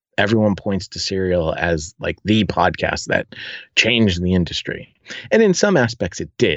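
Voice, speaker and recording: With an American accent and a plain, everyday voice, a man talks at a moderate pace in a fairly low pitch with ordinary pitch variation. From United States. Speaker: podcast producer. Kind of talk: interview. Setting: remote call.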